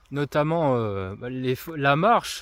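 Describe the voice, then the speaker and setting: Lively intonation marks a man's speech, which sits at a fairly high pitch. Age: 30s. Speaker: influencer and trail runner. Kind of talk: casual monologue to camera. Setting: outdoors walking on forest trails with dog. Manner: hesitant, many fillers.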